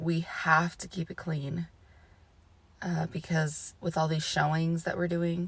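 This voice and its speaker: Somewhat breathy and fairly slow, a woman talks in a fairly low pitch with monotone, flat intonation. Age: 30s. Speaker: mother and home vlogger. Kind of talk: casual talk to camera.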